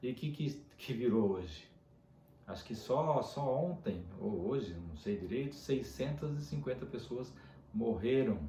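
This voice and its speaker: Somewhat breathy and fairly slow, a man speaks with lively intonation in a space with audible room echo. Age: 60s. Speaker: dentist. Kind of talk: casual video monologue. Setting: at home.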